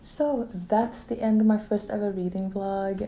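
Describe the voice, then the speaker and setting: Here a woman speaks with a non-native accent and ordinary pitch variation. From Sweden. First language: not English. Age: 20s. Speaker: book vlogger. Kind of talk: casual vlog review. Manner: casual, filler-heavy.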